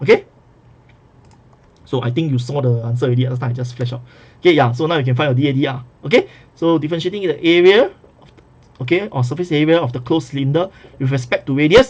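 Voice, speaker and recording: A man with a fairly high, somewhat breathy voice talks at a very fast pace but with long, frequent pauses. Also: ordinary pitch variation, big swings in loudness. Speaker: math tutor. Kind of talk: recorded lecture. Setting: recorded video lesson.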